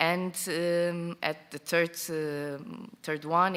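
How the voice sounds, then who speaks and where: A woman with a non-native accent speaks very slowly at a fairly low pitch. Her intonation is monotone and flat, and the recording is very clean with a silent background. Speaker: tourism project representative. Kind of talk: conference presentation. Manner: halting.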